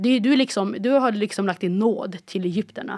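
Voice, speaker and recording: Recorded very clean with a silent background and a dry, close sound with no echo, the voice moves at a moderate pace with ordinary pitch variation. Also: woman. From Palestinian roots, born in Egypt. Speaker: podcast guest with family in Gaza. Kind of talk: casual conversation. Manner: halting, many restarts.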